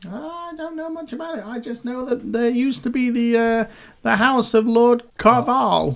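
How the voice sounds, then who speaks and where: A man performs a put-on character voice at an extremely high pitch. He speaks at a moderate pace. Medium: actual play. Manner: casual, chummy.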